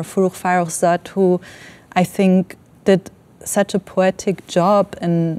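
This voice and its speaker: A woman speaks in an Iranian accent at a fairly slow pace and a medium pitch. Her tone is dark and mellow, and her intonation is monotone and flat. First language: Farsi. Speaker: filmmaker. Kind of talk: panel discussion. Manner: halting, many fillers.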